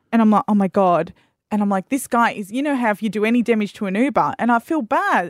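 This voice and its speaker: Very fast speech comes in an Australian accent. The recording is very clean and dry, close with no echo, over a silent background. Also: woman. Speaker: radio host. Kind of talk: casual chat. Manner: animated.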